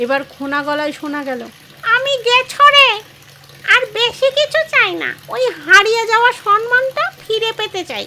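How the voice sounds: In a put-on character voice, a woman projects loudly at a moderate pace, her extremely high pitch making very wide swings.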